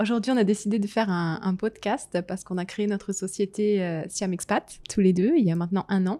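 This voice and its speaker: Fairly even intonation and a dark, mellow tone carry a fairly quick delivery with hardly any pauses. The recording is very clean, with a silent background. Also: woman, medium pitch for a woman. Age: 30s. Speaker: podcast host, business owner. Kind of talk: casual conversation.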